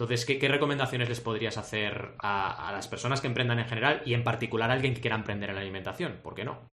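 Hardly any pauses break up this man's very fast pace. His pitch variation is ordinary. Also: medium pitch for a man. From Argentina, raised in Barcelona from age 8. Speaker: podcast host. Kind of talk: podcast interview. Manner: animated.

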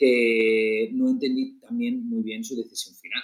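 At a very slow pace, a man talks with very wide pitch swings. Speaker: podcast co-host. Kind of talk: casual chat.

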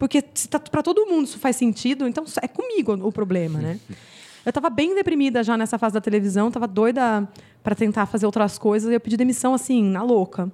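Talking at a very fast pace, a woman uses a fairly high voice with lively intonation. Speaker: gardening YouTuber and former journalist. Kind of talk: podcast interview.

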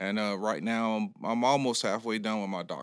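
A man with an American accent at a medium pitch, fairly quick and fairly even in intonation, on a very clean recording with a silent background. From US South, Jacksonville, Florida. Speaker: high school football coach. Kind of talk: casual interview. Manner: halting, many fillers and restarts.

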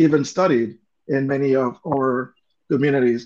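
A man talks at a very slow pace. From Honduras. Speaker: author and activist. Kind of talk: interview conversation. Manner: halting.

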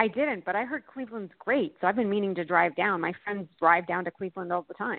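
In an ordinary speaking voice, a woman talks at a fairly quick pace with hardly any pauses. Her pitch is medium, with ordinary pitch variation. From Canada. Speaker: production designer. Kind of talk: interview chat. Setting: phone call.

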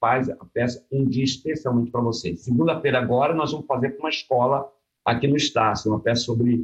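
A somewhat breathy man's voice of medium pitch at a fairly quick pace. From Rio de Janeiro (born in Vitória, moved at 15). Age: 70s. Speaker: theatre actor. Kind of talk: casual interview.

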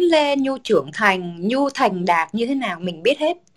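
The woman's voice sits fairly high. Her pitch swings very widely. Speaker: podcast co-host, communications professional. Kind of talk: casual chat.

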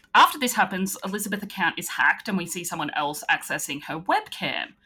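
Bright and sharp in tone, a woman talks at a fairly quick pace with lively intonation. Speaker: podcast host. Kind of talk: casual chat.

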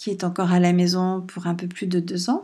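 The pace is fairly slow, with a gentle, calm tone. The voice has a dark, mellow tone. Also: woman. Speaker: podcast host and writer. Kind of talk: casual monologue. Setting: at home.

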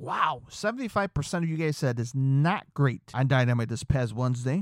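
At a fairly quick pace, the speech comes through a very clean recording with a silent background and a dry, close sound with no echo. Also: man. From Chicago suburbs, US Midwest. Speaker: podcast host covering pro wrestling and rock/metal news. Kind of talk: casual solo podcast, news rundown. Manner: chatty, enthusiastic.

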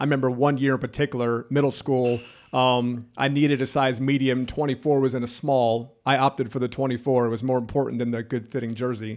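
Over a quiet background, a man with a plain, everyday voice talks at a fairly quick pace and medium pitch with fairly even intonation. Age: 40s. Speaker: podcast host. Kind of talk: casual chat. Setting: studio.

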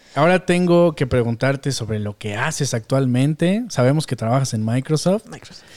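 Speaking with a Mexican accent, a man talks at a moderate pace with a fairly high pitch, lively intonation and hardly any pauses, in a very clean, dry, close recording with no echo and a silent background. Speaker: podcast host and developer. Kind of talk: casual chat.

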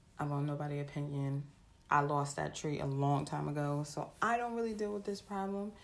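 An animated woman with a very deep, low pitch, lively intonation and a fairly quick pace, in a room with audible echo. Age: 20s. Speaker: podcast host. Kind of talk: casual motivational monologue.

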